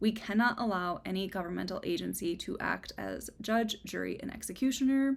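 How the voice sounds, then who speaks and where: The speaker, with an American accent, talks at a fairly quick pace with hardly any pauses. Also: woman. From US Midwest, Minnesota. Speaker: book reviewer, video creator. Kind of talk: personal statement on current events; book review monologue to camera. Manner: earnest, emotional.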